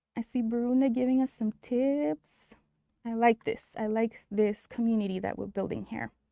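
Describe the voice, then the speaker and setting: With a Spanish accent, a woman speaks at a fairly high pitch in a dark, mellow tone, the sound dry and close with no echo. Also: ordinary pitch variation, moderate pace. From New Mexico. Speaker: nurse educator. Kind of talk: live-stream tutorial. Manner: animated.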